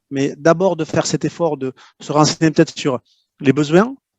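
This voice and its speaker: Speaking with fairly even intonation, a man with a fairly high pitch has a slight southwestern French accent. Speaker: LinkedIn prospecting expert and author. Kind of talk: interview, expert advice. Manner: hesitant, many fillers and repetitions.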